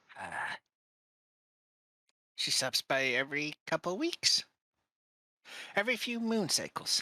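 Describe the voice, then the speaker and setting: Someone performs a put-on character voice at a fairly high pitch. The pace is fairly slow, with long, frequent pauses. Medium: actual play. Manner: broken, simple speech.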